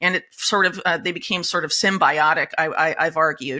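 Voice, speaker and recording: On a very clean recording with a silent background, a woman speaks at a fairly quick pace in a bright, sharp tone with ordinary pitch variation. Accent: American. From United States. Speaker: investigative journalist. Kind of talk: interview. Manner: many filler words and hesitations.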